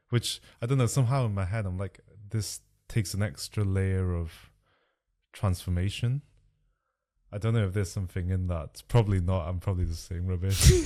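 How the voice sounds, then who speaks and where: A man speaks at a fairly quick pace with a Chinese accent, his very deep, low pitch carrying a dark, mellow tone and ordinary pitch variation. Long, frequent pauses break up his speech in a very clean recording with a silent background. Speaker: doctor and podcast co-host. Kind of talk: casual technical discussion.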